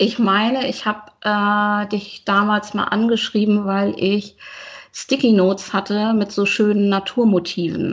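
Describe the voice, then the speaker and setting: A woman talks at a fairly slow pace, somewhat breathy. Her intonation stays monotone and flat. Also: medium pitch for a woman. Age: 40s. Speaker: teacher and planner enthusiast. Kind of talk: casual interview chat.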